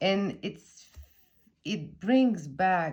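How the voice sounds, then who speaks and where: Dark and mellow in tone, the voice moves at a very slow pace with lively intonation and a French accent. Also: woman. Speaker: tarot content creator. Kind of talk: casual chat. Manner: halting.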